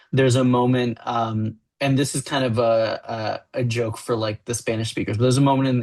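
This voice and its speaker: Delivered at a moderate pace in a Miami accent, the speech has monotone, flat intonation. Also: man. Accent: Miami American English. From US, Miami. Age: adult. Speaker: graphic novel writer. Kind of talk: interview.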